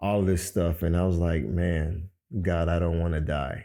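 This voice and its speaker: Very deep and low in pitch, a man with an American accent speaks in a monotone, flat intonation with a dark, mellow tone, in a very clean recording with a silent background. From Miami, Florida. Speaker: podcast host. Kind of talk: personal testimony. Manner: casual, conversational.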